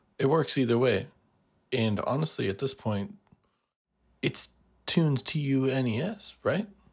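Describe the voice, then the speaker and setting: A man talks in a somewhat breathy voice. He leaves long, frequent pauses. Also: fairly slow pace. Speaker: music producer and sound designer. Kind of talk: casual interview chat.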